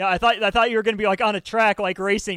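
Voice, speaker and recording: In a raised, projected voice, a man speaks with a high pitch and a bright, sharp tone. The sound is dry and close, with no echo. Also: very clean recording, silent background. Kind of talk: casual sports talk radio chat.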